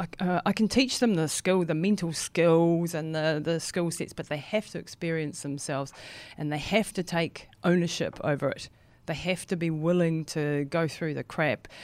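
Very clean recording over a silent background, with normal pitch movement. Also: woman, fairly low pitch for a woman, moderate pace. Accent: New Zealand. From New Zealand. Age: 50s. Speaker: ultramarathon runner. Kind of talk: interview. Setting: studio.

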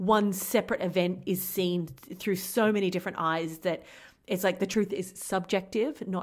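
A woman talks at a moderate pace in a medium pitch with ordinary pitch variation, on a very clean recording with a silent background. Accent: Australian. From rural Australia. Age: 40s. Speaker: podcast host. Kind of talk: casual chat; scripted outro.

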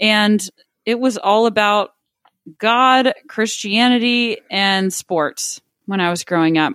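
The sound is dry and close, with no echo. A woman speaks with a Texan accent. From Texas, Midland. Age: 30s. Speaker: wealth manager. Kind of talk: casual chat.

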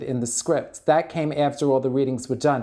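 The speaker is a man with a New York accent. His voice sits at a fairly high pitch. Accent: New York (Bronx). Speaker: drag performer. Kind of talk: casual interview.

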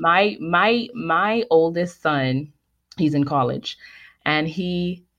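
A woman's lively intonation against a quiet background. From Bahamas. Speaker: communications coach. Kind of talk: interview. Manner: articulate.

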